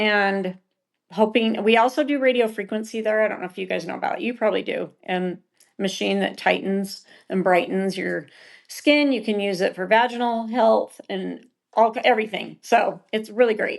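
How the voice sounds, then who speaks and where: A plain, everyday voice speaks in an American accent at a moderate pace, with ordinary pitch variation. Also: woman, fairly high pitch for a woman. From Utah. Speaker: esthetician and med spa co-owner. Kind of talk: podcast interview.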